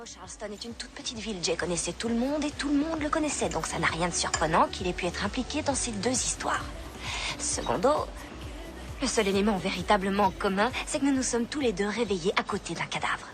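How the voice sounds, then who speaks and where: With music playing in the background, a woman speaks at a fairly quick pace and a medium pitch. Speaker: voice actress. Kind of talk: film and TV dubbing. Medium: dub.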